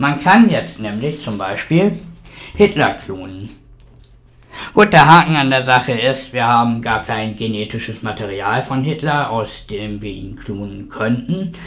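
With big swings in loudness and lively intonation, a man speaks at a fairly slow pace. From Germany. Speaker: science video blogger. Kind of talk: sarcastic science rant, scripted-sounding. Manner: sarcastic, indignant, biting. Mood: sarcastic, argumentative. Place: home room. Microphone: studio mic.

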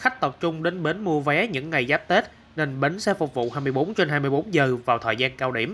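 At a moderate pace, a man speaks with lively intonation, a bright, sharp tone and a fairly high pitch. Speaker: news narrator. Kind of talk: news reading. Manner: formal.

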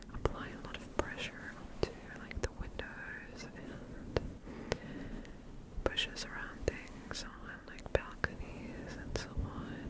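A soft-spoken woman whispers at a very slow pace. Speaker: ASMR creator. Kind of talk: soft casual ASMR chat. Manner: soft close-mic whisper. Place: home room. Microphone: studio mic.

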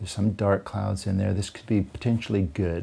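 The voice carries an American accent and a dark, mellow, somewhat breathy tone. Its intonation is fairly even and its pace moderate. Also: man. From United States. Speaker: landscape photographer. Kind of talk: interview answer. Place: home room. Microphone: lapel.

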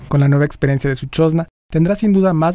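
A man with a dark, mellow tone rushes along very fast, his pitch varying in an ordinary way. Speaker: news narrator. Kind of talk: TV news narration.

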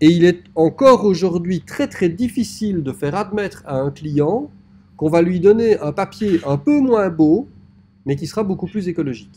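Lively intonation from a man with a high pitch and a dark, mellow tone, at a moderate pace. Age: 40s. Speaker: typography teacher. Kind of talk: lecture. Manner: hesitant, frequent filler 'euh'.

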